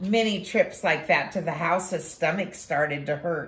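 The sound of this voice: The clip presents an unforced reading voice.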